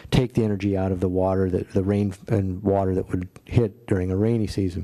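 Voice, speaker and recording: A fairly low-pitched man with a Midwestern US accent and a dark, mellow tone. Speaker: city staff engineer. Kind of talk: public meeting briefing.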